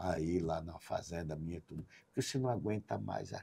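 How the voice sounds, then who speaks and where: At a very slow pace, a man speaks in a dark, mellow, somewhat breathy tone with ordinary pitch variation. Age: 60s. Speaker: businessman. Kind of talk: podcast interview.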